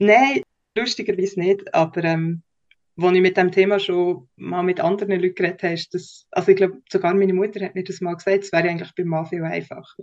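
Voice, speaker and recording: A woman of medium pitch talks at a fairly quick pace. Her intonation is monotone and flat. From Switzerland, Bernese Oberland (Lake Thun). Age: 30s. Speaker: podcast guest, communications professional. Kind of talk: personal interview.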